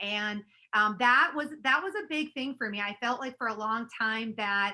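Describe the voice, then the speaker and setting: An animated woman with an American accent, bright and sharp in tone, with lively intonation. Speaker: network marketing leader. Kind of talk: webinar training presentation. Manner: fast.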